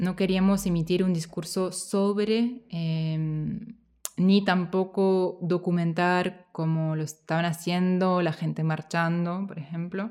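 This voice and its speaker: The woman has a dark, mellow tone at a medium pitch. She speaks at a very slow pace. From Switzerland. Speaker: film director. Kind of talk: festival Q&A interview.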